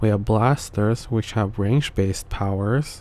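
A soft-spoken man talks at a moderate pace with a fairly low pitch and fairly even intonation. His tone is dark and mellow, and the sound is dry with no echo. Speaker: video essay narrator. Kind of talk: explainer narration about a story's power system. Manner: monotone.

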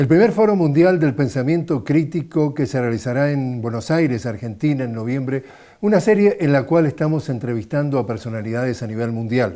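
A man talks at a fairly quick pace with hardly any pauses. His tone is dark and mellow, and the background is quiet. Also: lively intonation. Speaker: journalist. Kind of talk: program introduction. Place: studio. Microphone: lapel.

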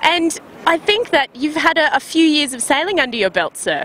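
A woman's high voice is raised and projected, with very wide pitch swings. The sound is dry with no echo, and there is light background noise. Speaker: sailing video host. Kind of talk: interview questions. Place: waterside. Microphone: handheld.

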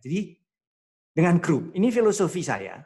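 Vocal fry runs through a man's speech. The background is quiet. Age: 60s. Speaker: professor. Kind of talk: lecture. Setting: video call. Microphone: video call.

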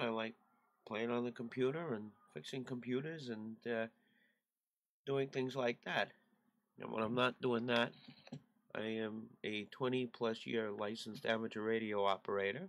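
A man talks at a fairly slow pace with ordinary pitch variation, leaving long, frequent pauses. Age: 40s. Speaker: YouTuber and amateur radio hobbyist; YouTuber, amateur radio hobbyist. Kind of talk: casual vlog to camera. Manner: hesitant, many fillers. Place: home room. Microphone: webcam.

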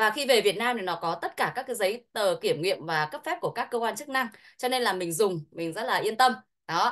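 Over a quiet background, a woman speaks fairly quickly at a fairly high pitch with very wide pitch swings. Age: 40s. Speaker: product expert; presenter. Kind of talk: sales pitch. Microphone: video call.

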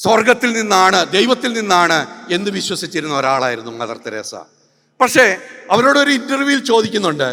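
With a raised, projected delivery, a man speaks in a high, bright and sharp voice that swings very widely in pitch. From Kerala, India. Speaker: public speaker, religion critic. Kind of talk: public lecture. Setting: stage with audience. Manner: forceful.

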